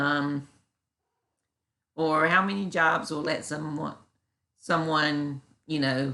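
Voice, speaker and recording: Against a quiet background, a woman with a Southern US accent speaks in a bright, sharp tone at a very deep, low pitch. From US South. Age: 40s. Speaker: YouTuber reacting to critics. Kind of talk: reaction commentary. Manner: halting.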